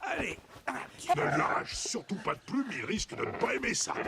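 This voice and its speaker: A man puts on a character voice pitched extremely high, swinging very widely in pitch at a moderate pace over clear background noise. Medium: fan dub.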